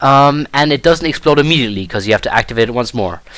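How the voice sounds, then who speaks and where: With a German accent, a man speaks using lively intonation. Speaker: gaming video creator. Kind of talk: gameplay commentary tutorial. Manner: casual with frequent fillers.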